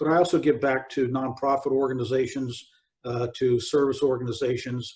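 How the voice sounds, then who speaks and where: Somewhat breathy, a man talks at a fairly quick pace in a medium-pitched voice. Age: 60s. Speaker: retired army general and motivational speaker. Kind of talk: interview.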